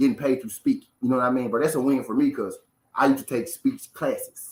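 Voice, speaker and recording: With ordinary pitch variation, a man talks in a fairly high voice. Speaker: boxing talk show host. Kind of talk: live stream casual chat. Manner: fast; animated.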